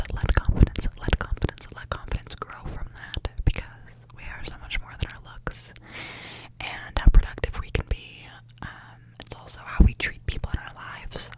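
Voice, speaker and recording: Over noticeable background noise, a woman whispers at a moderate pace, her loudness swinging widely. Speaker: ASMR creator. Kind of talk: ASMR affirmations, soft personal talk to the listener. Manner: soft-spoken, gentle, caring.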